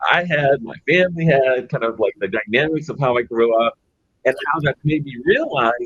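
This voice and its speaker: A man with an American accent speaks in an ordinary speaking voice, his pitch fairly high for a man. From Los Angeles, California. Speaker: business executive. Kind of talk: panel discussion. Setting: virtual conference.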